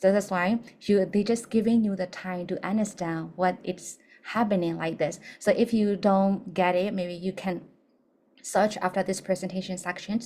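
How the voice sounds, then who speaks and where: A woman with a non-native accent speaks at a fairly slow pace, her medium-pitched voice dark and mellow in tone. Her intonation stays fairly even on a very clean recording with a silent background. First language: not English. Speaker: English teacher. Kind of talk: lecture.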